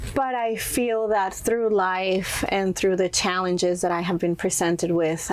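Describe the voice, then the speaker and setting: A woman with a Spanish accent speaks at a fairly slow pace. Her pitch is fairly low and her intonation fairly even. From Mexico, Monterrey. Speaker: entrepreneur and influencer. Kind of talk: interview.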